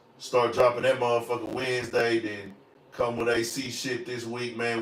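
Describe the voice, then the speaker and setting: Noticeable background noise sits behind a man speaking with a Southern US accent. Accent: Southern country. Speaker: podcast host. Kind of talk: casual chat.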